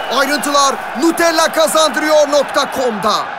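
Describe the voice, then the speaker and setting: Amid crowd noise in the background, a man speaks in a raised, projected voice at an extremely high pitch, at a fairly slow pace with fairly even intonation. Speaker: sports announcer. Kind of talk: TV commercial read.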